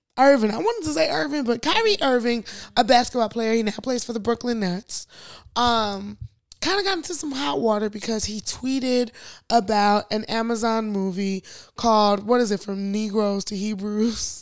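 Over a silent background in a very clean recording, a woman speaks at a moderate pace in a fairly high pitch. Her tone is animated, with ordinary pitch variation. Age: 20s. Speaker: podcast co-host. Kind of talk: casual chat.

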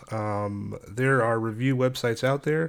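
On a very clean recording with a silent background, a man speaks at a medium pitch with fairly even intonation. He has a plain, everyday voice. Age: 30s. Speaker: podcast host. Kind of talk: casual monologue. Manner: casual, filler-heavy.

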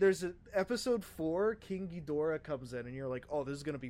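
Fairly quick and lively in intonation, a man with an American accent and a fairly high pitch speaks in a normal speaking voice. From US East Coast, southern part. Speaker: gaming podcast co-host. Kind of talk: casual chat.

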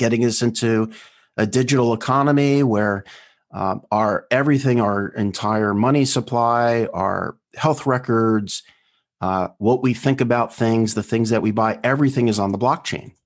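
A man's normal speaking voice with an American accent, fairly even intonation, very even loudness, a moderate pace and a quiet background. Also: medium pitch for a man. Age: 50s. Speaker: founder of a private towns project and podcast host. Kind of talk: interview conversation.

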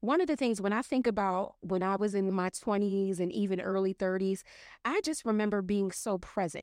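A woman with a plain, everyday voice speaks at a medium pitch against a quiet background. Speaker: professional organizer and mental health professional. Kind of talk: casual chat.

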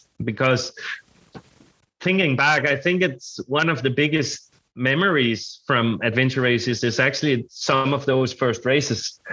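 A man with a Danish accent speaks at a fairly slow pace. His tone is bright and sharp, and his loudness stays very even. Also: medium pitch for a man, ordinary pitch variation. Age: 30s. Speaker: adventure racer. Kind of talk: casual interview chat. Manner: halting, searching for words.

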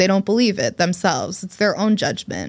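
A woman's voice with vocal fry and an American accent, in a very clean recording with a silent background. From New Jersey, US. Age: 30s. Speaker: journalist. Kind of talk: casual chat.

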